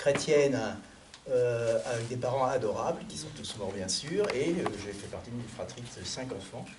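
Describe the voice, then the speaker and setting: Lively intonation and big swings in loudness at a fairly slow pace, with audible room echo and noticeable background noise. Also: man, medium pitch for a man. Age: 70s. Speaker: author. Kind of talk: book presentation. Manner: hesitant, with many fillers.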